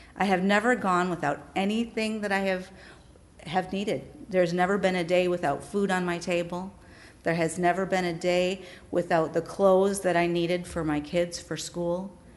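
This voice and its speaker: In a normal speaking voice, a woman with an American accent talks at a moderate pace with fairly even intonation. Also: medium pitch for a woman. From Wisconsin. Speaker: pastor. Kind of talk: testimony.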